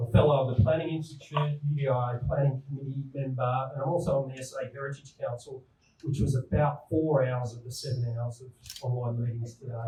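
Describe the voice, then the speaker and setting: A man with a slight New South Wales accent talks at a fairly quick pace in a medium pitch, his dark, mellow, somewhat breathy voice monotone and flat while its loudness swings widely. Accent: slight New South Wales Australian. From New South Wales, Australia. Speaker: town planner. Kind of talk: presentation.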